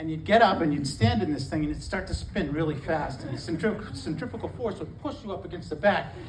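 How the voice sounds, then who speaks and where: A man talks at a very fast pace with hardly any pauses, using a fairly high pitch and lively intonation. Audible room echo and noticeable background noise surround his voice. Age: 60s. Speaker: stand-up comedian. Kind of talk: stand-up. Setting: stage with audience. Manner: halting.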